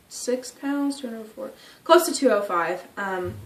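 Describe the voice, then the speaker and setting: A woman at a fairly slow pace, ordinary pitch variation, noticeable background noise and audible room echo. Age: 20s. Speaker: vlogger. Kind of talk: personal video diary. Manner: hesitant, many fillers.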